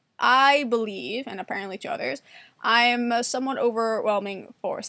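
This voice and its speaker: A woman with an American accent speaks in a fairly high pitch at a fairly quick pace, her tone animated, bright and sharp. Her pitch variation is ordinary, and the recording is very clean with a silent background. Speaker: vlogger. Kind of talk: casual monologue. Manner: fast.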